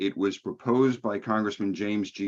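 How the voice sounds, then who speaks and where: A man talks with a New York accent. His pitch sits fairly low. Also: quiet background. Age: old. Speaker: think tank president. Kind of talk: lecture.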